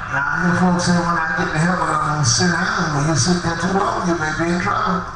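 A man's very fast speech amid loud background noise and audible room echo. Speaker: Apostolic preacher. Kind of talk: tent revival sermon. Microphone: handheld.

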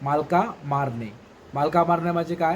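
A man's ordinary speaking voice, pitched fairly high, its pitch varying in an ordinary way. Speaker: vlogger teaching regional dialect words. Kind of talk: casual talk to camera.

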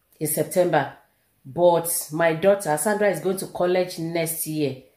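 A woman's fairly low, dark and mellow voice at a moderate pace with ordinary pitch variation, audible room echo and a quiet background. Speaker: vlogger. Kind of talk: casual vlog chat. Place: home room. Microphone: phone near.

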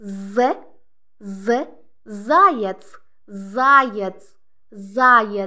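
A woman's fairly high voice, bright and sharp in tone, with lively intonation. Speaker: Russian language teacher. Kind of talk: tutorial. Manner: slow, repetitive enunciation.

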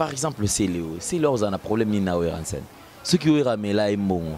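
Pitch swings very widely as a man talks at a moderate pace. The sound is dry with no echo, over light background noise. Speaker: video channel host. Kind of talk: casual chat. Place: street. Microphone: handheld.

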